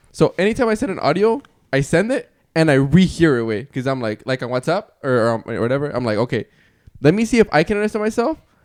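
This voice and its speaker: A man talks very fast at a fairly high pitch with very wide pitch swings, in a dry, close sound with no echo. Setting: voice message. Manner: fast talking.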